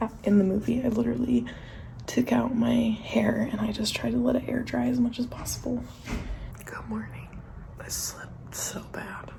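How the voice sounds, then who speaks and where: The whispering holds a moderate pace. Noticeable noise sits in the background. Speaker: teacher vlogger. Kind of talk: casual vlog. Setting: outdoors walking.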